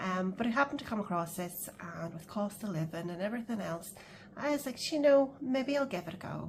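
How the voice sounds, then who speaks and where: A woman with a Northern Irish accent talks at a fairly quick pace in a medium pitch with lively intonation. Noticeable background noise is present. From Northern Ireland. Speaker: budgeting vlogger. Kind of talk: casual chat. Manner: hesitant, many fillers.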